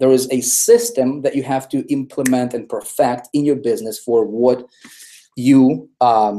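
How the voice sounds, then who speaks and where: A non-native accent at a fairly slow pace. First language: not English. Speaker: online marketing trainer. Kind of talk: live webinar presentation. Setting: live video hangout. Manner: animated, repetitive emphasis.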